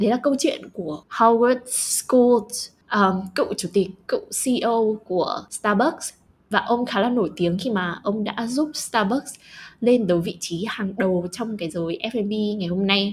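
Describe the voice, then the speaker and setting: A woman with a fairly high pitch and a somewhat breathy voice speaks at a very slow pace with ordinary pitch variation, captured in a very clean recording with a silent background. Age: young. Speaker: podcast co-host. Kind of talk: casual chat.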